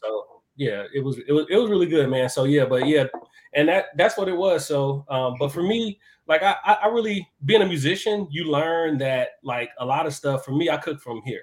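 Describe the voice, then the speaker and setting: A man with an American accent and an unremarkable speaking voice talks at a moderate pace, his fairly high pitch carried by lively intonation. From Chicago West Side, US. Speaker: chef and architect. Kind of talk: casual podcast interview. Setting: live video stream.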